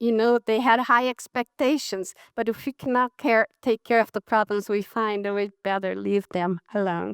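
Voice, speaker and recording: The sound is dry and close, with no echo. A woman speaks at medium pitch and a moderate pace with ordinary pitch variation. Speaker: physician and public health professor. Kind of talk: conference talk. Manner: halting.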